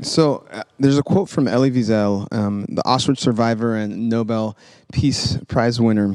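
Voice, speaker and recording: The pace is moderate, and pitch varies in an ordinary way. It is a plain, everyday voice. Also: man, medium pitch for a man. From California (Sacramento), born in Memphis. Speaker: church member, worship leader. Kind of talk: conversation.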